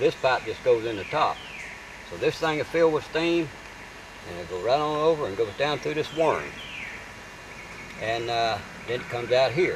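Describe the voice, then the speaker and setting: Someone with a Southern Appalachian accent speaks at a moderate pace over noticeable background noise. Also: man. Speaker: moonshiner. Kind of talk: hands-on how-to demonstration. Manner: casual, plain-spoken.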